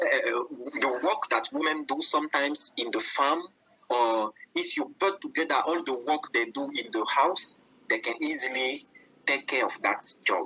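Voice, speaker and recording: Delivered at a moderate pace with a French accent, the speech contains long, frequent pauses. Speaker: webinar panelist. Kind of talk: panel discussion. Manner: halting.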